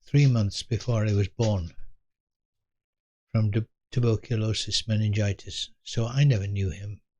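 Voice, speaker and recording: A man talks in a southern British accent, his voice fairly low and somewhat breathy. The background is quiet. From England. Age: 80s+. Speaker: elderly storyteller. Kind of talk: personal storytelling. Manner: reflective, unhurried; occasional stumbles and repetitions.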